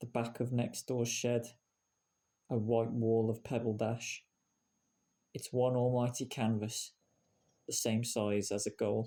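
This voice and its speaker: With a West Midlands accent, a man speaks at a fairly slow pace with long, frequent pauses. His medium-pitched voice has a dark, mellow tone and monotone, flat intonation. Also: very clean recording, silent background. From Shropshire, England. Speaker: poet. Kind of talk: spoken word poetry reading.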